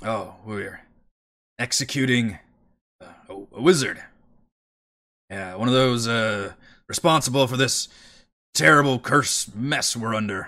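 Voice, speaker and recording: Using a raspy, put-on character voice at a medium pitch, a man speaks at a fairly slow pace with long, frequent pauses and big swings in loudness. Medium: actual play.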